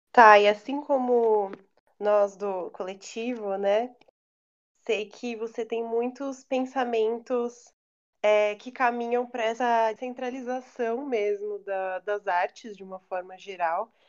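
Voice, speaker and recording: Against a quiet background, a woman speaks very slowly in a fairly high pitch, her intonation fairly even but her loudness swinging widely. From São Paulo area, Brazil. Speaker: podcast host. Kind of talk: casual interview.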